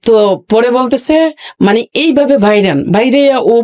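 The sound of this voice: Lively intonation marks this woman's fairly high, slightly mellow voice as she speaks at a fairly slow pace.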